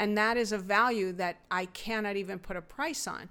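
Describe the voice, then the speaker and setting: Medium in pitch, a woman speaks at a moderate pace with fairly even intonation in an ordinary speaking voice. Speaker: host's mother. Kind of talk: casual chat.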